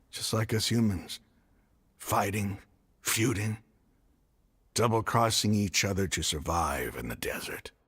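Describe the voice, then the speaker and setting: Using a put-on character voice, a man speaks raspy and fairly low, at a fairly slow pace with long, frequent pauses. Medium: video game. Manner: earnest, emotional.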